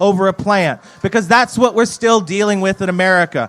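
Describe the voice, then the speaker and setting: With a Southern US accent, a man speaks at a high pitch. His pace is fairly quick. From North Carolina. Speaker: cannabis activist. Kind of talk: rally speech. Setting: outdoor stage with crowd. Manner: animated.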